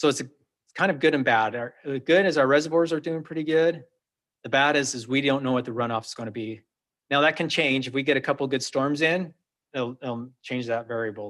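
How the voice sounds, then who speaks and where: A fairly high male voice at a fairly quick pace, with ordinary pitch variation. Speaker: water district manager. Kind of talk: presentation to city council. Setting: council meeting. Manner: fast.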